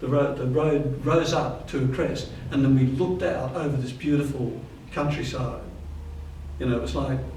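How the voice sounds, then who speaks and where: Over noticeable background noise and audible room echo, a man talks at a moderate pace with a medium pitch and fairly even intonation. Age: 70s. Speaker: spiritual practitioner. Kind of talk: testimony. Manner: halting.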